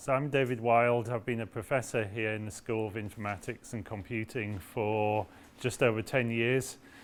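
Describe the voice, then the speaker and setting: At a moderate pace, a man with a British accent speaks at a medium pitch with fairly even intonation. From UK. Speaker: professor. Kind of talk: orientation talk. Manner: hesitant with fillers.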